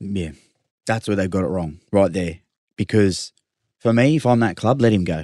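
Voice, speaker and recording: Over a quiet background, a man with an Australian accent speaks at a moderate pace in a fairly low pitch. He uses ordinary pitch variation and long, frequent pauses. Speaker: rugby league player. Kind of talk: casual sports chat.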